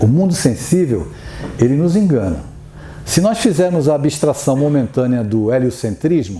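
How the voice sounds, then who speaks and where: Audible room echo and noticeable background noise surround a man talking at a moderate pace. His fairly high voice makes very wide pitch swings while its loudness stays very even. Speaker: spiritist lecturer. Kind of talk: lecture.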